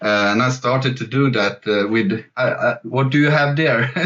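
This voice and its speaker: A man with a Swedish accent, medium-pitched, speaking fairly slowly with ordinary pitch variation. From Sweden. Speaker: jazz fusion guitarist and online guitar teacher. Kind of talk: interview. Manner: halting, many fillers and repetitions.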